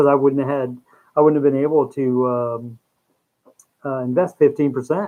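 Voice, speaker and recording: With long, frequent pauses, a man speaks at a moderate pace. His pitch is fairly high and his intonation fairly even. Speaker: livestream host, finance commentator. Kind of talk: casual live stream chat. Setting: live stream, home setup. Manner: halting, many fillers.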